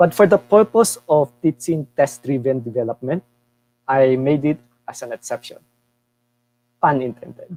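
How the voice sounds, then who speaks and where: A man's fairly high-pitched voice with a dark, mellow tone, big swings in loudness, long and frequent pauses, a moderate pace, and a dry, close sound with no echo. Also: lively intonation. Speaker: tech workshop speaker. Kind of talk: live coding tutorial.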